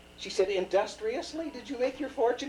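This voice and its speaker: A man speaks with very wide pitch swings. Noticeable background noise runs behind him. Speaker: grandfather telling stories. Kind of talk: fairy tale told aloud from memory to a grandchild. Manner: rambling, casual, folksy.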